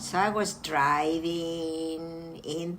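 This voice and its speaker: A woman speaks at a fairly low pitch, with music in the background and audible room echo. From Greece. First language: Greek. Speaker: retiree and homebuyer. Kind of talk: casual interview.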